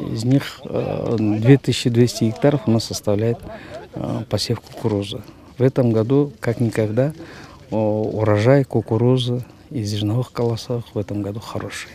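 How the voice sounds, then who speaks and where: At a fairly slow pace with long, frequent pauses, a man speaks at medium pitch with fairly even intonation, in a dry sound with no echo and light background noise. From Kyrgyzstan. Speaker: district agriculture official. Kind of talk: field interview. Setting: outdoors, in a field. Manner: hesitant, with filler sounds. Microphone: handheld.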